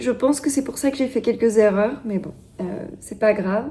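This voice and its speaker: A woman talks with lively intonation. Noticeable background noise sits behind her. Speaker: knitting vlogger. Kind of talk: casual vlog talk to camera. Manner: hesitant, many fillers.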